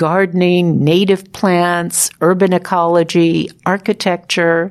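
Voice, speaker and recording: A woman speaks at a medium pitch. It is a normal speaking voice. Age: 60s. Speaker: podcast host and former radio journalist. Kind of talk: scripted narration.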